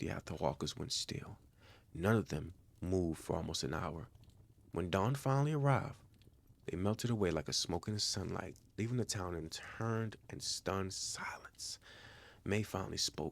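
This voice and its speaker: A man's fairly low-pitched delivery in an ordinary speaking voice, with lively intonation and a moderate pace, on a very clean recording with a silent background. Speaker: story narrator, channel owner. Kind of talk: calm horror story narration for bedtime.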